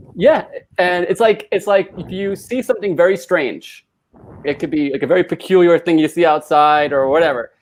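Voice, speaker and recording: Here a man speaks at a high pitch. His pitch variation is ordinary. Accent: American. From US. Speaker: YouTuber. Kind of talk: casual chat. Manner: fast.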